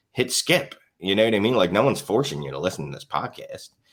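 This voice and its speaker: A man's fairly low voice with a strong Philadelphia accent and very wide pitch swings. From Philadelphia, US. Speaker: fantasy football writer and podcaster. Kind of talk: podcast interview. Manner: casual, many fillers.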